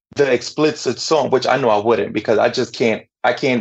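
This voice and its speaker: This is a man speaking. He has a New York accent. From Brooklyn, New York, Dominican parents. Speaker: DJ and minister. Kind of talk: interview.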